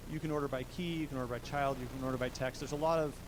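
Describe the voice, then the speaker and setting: Through audible room echo, a man speaks in a monotone, flat intonation. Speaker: software developer giving a tech talk. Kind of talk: tech meetup presentation with live demo. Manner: fast; casual with many filler words.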